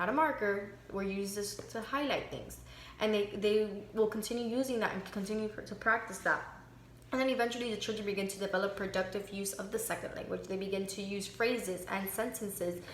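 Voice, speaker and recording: Spoken at a fairly quick pace with fairly even intonation and a slight Miami accent, the voice comes through with audible room echo and noticeable background noise. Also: woman, medium pitch for a woman. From Miami, Florida. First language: Spanish. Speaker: student. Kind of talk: class reflection monologue. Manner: halting, many fillers.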